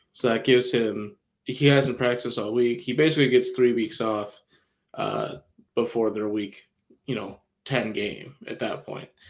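A man's normal speaking voice at medium pitch, moderate in pace, with fairly even intonation. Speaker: podcast co-host. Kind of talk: casual sports podcast chat. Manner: casual, conversational.

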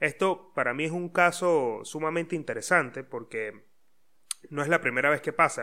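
A bright, sharp tone at a moderate pace, with ordinary pitch variation, on a very clean recording with a silent background. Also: man. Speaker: podcast host. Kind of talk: solo podcast monologue. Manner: hesitant, many fillers.

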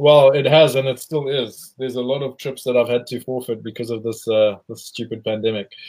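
Here is a man with an ordinary speaking voice and a medium pitch. He speaks at a fairly quick pace with fairly even intonation. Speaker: livestream host. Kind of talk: casual interview chat. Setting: video call livestream.

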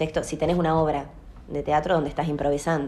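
Audible room echo surrounds a woman with a very deep, low pitch and fairly even intonation. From Salta, Argentina. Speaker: theatre actress and director, drama school owner. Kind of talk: interview.

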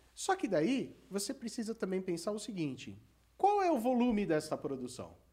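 Pitch swings very widely throughout this moderately paced speech. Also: man, high pitch for a man. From São Paulo ABC region, Brazil. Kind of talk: podcast interview. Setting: studio.

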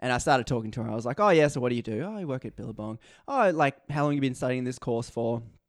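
A man at a very fast pace with an Australian accent and ordinary pitch variation. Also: medium pitch for a man. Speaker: podcaster guest. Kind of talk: casual chat. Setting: remote call.

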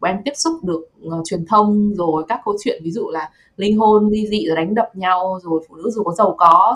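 This is an ordinary speaking voice at a moderate pace, with ordinary pitch variation. There are hardly any pauses. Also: woman. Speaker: podcast host. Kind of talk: casual chat.

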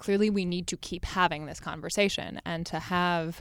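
With a Californian accent, a woman speaks at a fairly low pitch with fairly even intonation, on a very clean recording with a silent background. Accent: General American, Californian. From US West Coast, Los Angeles. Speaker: Broadway actress and podcaster. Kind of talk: casual chat.

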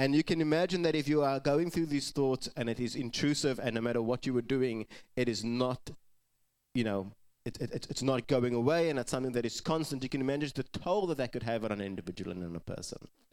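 A man speaks very fast at a medium pitch, on a very clean recording with a silent background. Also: ordinary pitch variation. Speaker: pastor. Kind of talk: sermon. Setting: church.

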